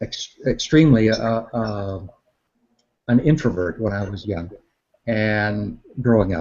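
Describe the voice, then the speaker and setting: A man speaks with an American accent. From Northwest Iowa, US Midwest. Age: 60s. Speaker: meteorologist. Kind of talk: interview. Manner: halting.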